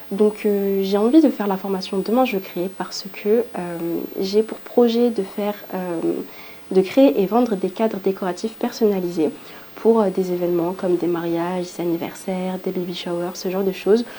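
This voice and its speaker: A woman talks at a moderate pace with a medium pitch and ordinary pitch variation. Noticeable background noise runs underneath. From southern France (Montpellier), from Île-de-France. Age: 20s. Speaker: aspiring entrepreneur. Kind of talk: testimony. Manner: hesitant, many fillers.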